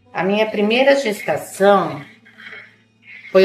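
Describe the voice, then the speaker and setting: Here a woman speaks at a very slow pace with a medium pitch. Audible room echo surrounds her voice. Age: 60s. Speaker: interviewee, mother and grandmother. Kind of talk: personal testimony interview.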